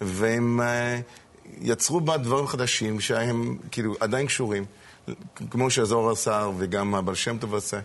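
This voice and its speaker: A man with an English accent, very slow, at a medium pitch, with fairly even intonation and very even loudness. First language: English (speaking Hebrew). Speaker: rabbi. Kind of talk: casual chat. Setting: studio. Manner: halting.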